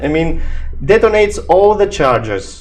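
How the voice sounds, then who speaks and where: A man with a non-native accent and lively intonation. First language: not English. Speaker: gaming youtuber. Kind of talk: tutorial. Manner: halting.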